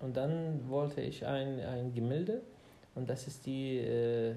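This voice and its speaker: In an Arabic accent, a man with a dark, mellow tone and medium pitch speaks at a very slow pace with fairly even intonation, an audible room echo around him. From Iraq, Baghdad. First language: Arabic (speaking German). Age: 30s. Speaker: podcast co-host. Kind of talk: casual chat. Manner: halting.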